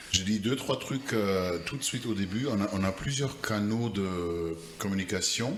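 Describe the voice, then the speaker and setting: A man's fairly low voice with ordinary pitch variation, audible room echo and noticeable background noise. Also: fairly slow pace. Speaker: podcast co-host. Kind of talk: casual chat. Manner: hesitant, many fillers.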